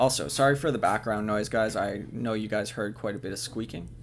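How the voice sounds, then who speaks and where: Speaking with a Canadian accent at a moderate pace, a man shows vocal fry. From Canada. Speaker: gaming video creator. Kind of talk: let's play commentary narration. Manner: hesitant, many fillers.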